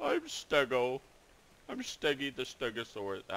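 A man puts on a character voice. His pitch sits in the medium range and his pace is moderate. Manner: silly, playful.

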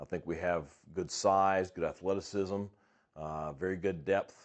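A man's fairly even intonation comes through over a quiet background. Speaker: head football coach. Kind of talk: interview answer. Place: office.

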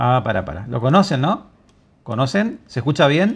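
A man's voice with very wide pitch swings at a moderate pace. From Argentina. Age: 50s. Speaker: online journalist. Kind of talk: video commentary. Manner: animated. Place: home room. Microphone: lapel.

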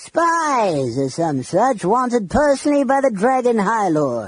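A put-on character voice from a man, high-pitched, whiny and growling, at a fairly slow pace. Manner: whining goblins, snarling commander.

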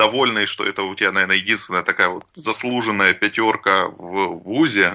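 Against a quiet background, a man with a fairly low pitch and a bright, sharp tone talks at a moderate pace with ordinary pitch variation. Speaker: software tech lead. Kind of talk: casual interview.

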